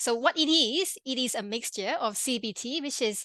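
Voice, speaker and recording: A woman with a Malaysian accent has a bright, sharp tone, recorded with a dry, close sound with no echo against a quiet background. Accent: interesting accent (Malaysian). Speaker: pharmacist and health coach. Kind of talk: webinar presentation. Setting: online webinar. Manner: fast; halting, many fillers and restarts.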